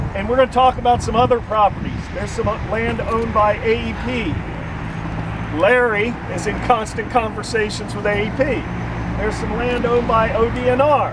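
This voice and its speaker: A man's voice sounds dry and echo-free amid loud background noise. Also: moderate pace. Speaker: park tour guide. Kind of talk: guided tour talk to a group. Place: open country. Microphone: camera far.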